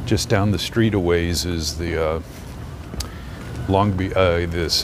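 A man's very deep, low voice with ordinary pitch variation at a fairly slow pace, dry with no echo, over noticeable background noise. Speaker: walking tour live streamer. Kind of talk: commentary. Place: street. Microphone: phone near.

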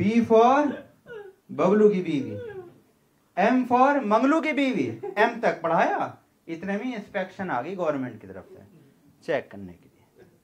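Very slow speech with big swings in loudness, very wide pitch swings, and long, frequent pauses. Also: man. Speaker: stand-up comedian. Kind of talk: stand-up comedy set. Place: stage. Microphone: handheld.

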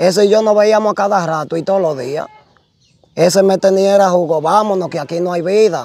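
A man's high-pitched voice at a moderate pace, with ordinary pitch variation and a dry sound with no echo. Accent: Dominican. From Dominican Republic, Puerto Plata; Dominican Republic. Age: young. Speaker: shipwreck survivor; interviewee. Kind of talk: testimony. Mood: animated storytelling. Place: open country. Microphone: lapel.

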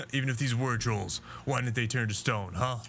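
A man does a put-on character voice at medium pitch over clear background noise. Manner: angry, scornful, commanding.

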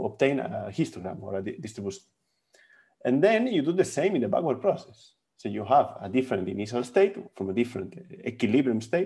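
Very fast and full of very wide pitch swings, a man's voice carries a dark, mellow tone. The background is quiet. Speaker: physics lecturer. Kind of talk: lecture. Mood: friendly, laughs briefly. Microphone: webcam.

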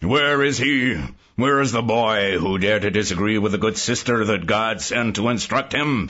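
Here is a man with a medium-pitched voice. His loudness stays very even. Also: moderate pace, ordinary pitch variation. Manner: angry, dogmatic, haranguing.

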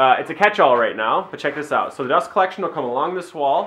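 A man talks at a fast pace with a fairly high pitch, a fairly bright tone and lively intonation, with audible room echo around him.

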